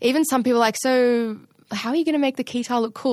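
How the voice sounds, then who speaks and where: The voice carries an Australian accent. The sound is dry and close with no echo, over a quiet background. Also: woman. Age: 20s. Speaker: drummer, singer and songwriter. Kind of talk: casual chat.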